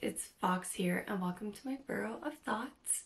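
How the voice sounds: A woman talks at a fairly slow pace and medium pitch, with vocal fry. Audible room echo surrounds her voice.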